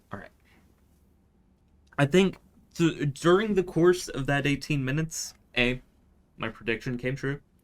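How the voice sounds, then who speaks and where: Soft-spoken and fairly high-pitched, a man talks at a moderate pace with ordinary pitch variation, big swings in loudness and long, frequent pauses. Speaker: gaming video creator. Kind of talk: gameplay commentary. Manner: quiet, soft-spoken; hesitant, stammering.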